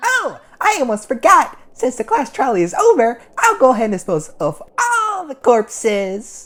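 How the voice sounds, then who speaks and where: Pitched high, this put-on character voice moves at a moderate pace with hardly any pauses. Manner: gleeful, cruel, mocking.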